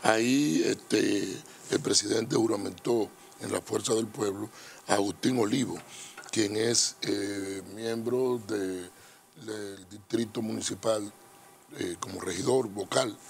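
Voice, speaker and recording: Amid noticeable background noise, a man with a fairly low pitch and fairly even intonation speaks at a very slow pace, with big swings in loudness and long, frequent pauses. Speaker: politician. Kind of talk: political interview.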